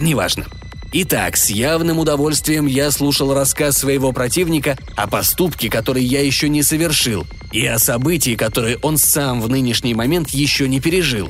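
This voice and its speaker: Over music in the background, a voice with a dramatic, pompous tone moves at a moderate pace with very even loudness. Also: man, fairly high pitch for a man, ordinary pitch variation. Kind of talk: literary audiobook reading, first-person sci-fi narration with voiced character dialogue.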